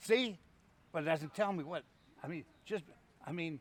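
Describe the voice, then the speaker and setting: Pitch variation stays ordinary. The speaker is a man with a high voice. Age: 70s. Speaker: war veteran. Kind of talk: casual chat; storytelling. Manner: halting.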